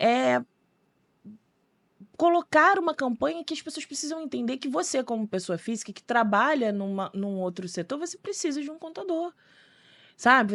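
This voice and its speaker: Pitched high, a woman's voice swings very widely up and down. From Rio de Janeiro state, Brazil (São Gonçalo). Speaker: accountant. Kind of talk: podcast interview. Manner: animated.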